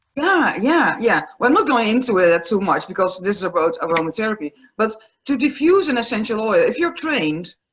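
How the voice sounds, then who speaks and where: Speaking at a fairly quick pace with a Dutch accent, a woman uses a fairly high voice with very wide pitch swings while her loudness stays very even. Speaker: aromatherapist and palliative care nurse. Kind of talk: interview.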